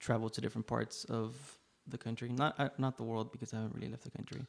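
A man's medium pitch in an American accent, with monotone, flat intonation and vocal fry. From Laredo, Texas. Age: 20s. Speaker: photographer. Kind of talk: casual chat. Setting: studio.

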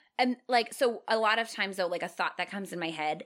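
An ordinary speaking voice moves at a fairly quick pace. Its intonation is lively. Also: woman. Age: 30s. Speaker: podcast co-host. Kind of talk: casual chat.

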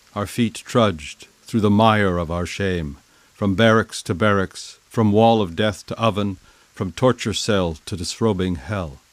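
Delivered at a fairly slow pace with ordinary pitch variation, this is an unremarkable speaking voice. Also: man, fairly low pitch for a man. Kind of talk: poetry reading.

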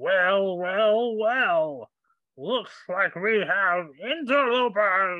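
A put-on character voice at middle pitch and a very slow pace. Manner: menacing.

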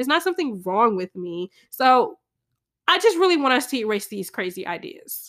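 Animated in tone, a woman speaks at a moderate pace in a high pitch with very wide pitch swings. Her voice sounds dry and close with no echo, on a very clean recording with a silent background. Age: 20s. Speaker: podcast host. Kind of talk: casual monologue.

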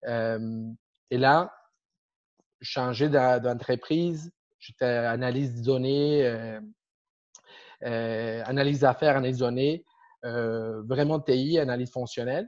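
A man with a Spanish accent speaks at a very slow pace in a medium pitch, his fairly even intonation broken by long, frequent pauses. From Argentina. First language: Spanish (speaking French). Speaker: agile coach. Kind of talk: interview. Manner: halting.

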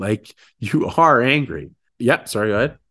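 A man with a Canadian accent, medium pitch and lively intonation, an unremarkable speaking voice, over a quiet background. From Ontario, Canada (Sarnia). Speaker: motivational speaker. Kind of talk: casual chat.

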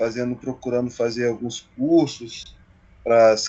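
Holding a monotone, flat intonation, a man with a medium pitch speaks at a fairly slow pace. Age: 30s. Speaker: railway worker. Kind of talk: casual interview. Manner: halting.

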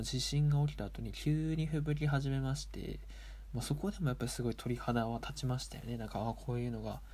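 Fairly quick male speech in a space with audible room echo. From Japan, Aomori Prefecture. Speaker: table tennis player and podcaster. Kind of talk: casual solo talk.

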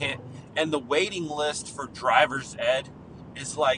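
Amid noticeable background noise, a man with a fairly high pitch speaks at a very slow pace. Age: 30s. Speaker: podcast host. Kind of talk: casual monologue. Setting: in a car.

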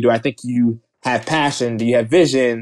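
In a normal speaking voice, a man with an American accent talks fairly quickly at a medium pitch with fairly even intonation. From New Jersey, outside Philadelphia. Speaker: venture capital investor. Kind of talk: interview.

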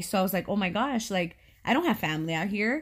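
Speaking at a moderate pace, a woman has an unremarkable speaking voice with an American accent and a medium pitch. The recording is very clean, and the background is silent. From California. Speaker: podcast co-host. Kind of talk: casual chat.

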